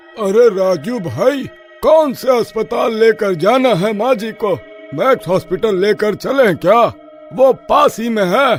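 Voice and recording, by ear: A cartoonish character voice from a man, high-pitched and fairly slow, with clear music in the background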